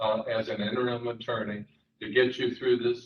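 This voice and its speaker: A man delivers a plain, everyday voice at a medium pitch and moderate pace, with ordinary pitch variation. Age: 60s. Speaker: attorney. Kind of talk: job interview before a city council. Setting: council chambers.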